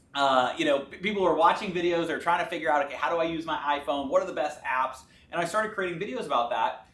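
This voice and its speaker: Very fast talking can be heard with noticeable noise behind it. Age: 20s. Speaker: entrepreneur. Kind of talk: interview. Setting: office.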